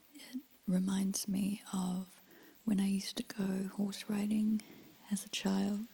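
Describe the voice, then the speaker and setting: A woman speaks softly at a very slow pace, her gentle, calm tone dark and mellow, somewhat breathy, with monotone, flat intonation. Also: medium pitch for a woman. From New Zealand. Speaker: ASMR creator. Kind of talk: ASMR soft-spoken talk. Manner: soft-spoken, gentle, calm.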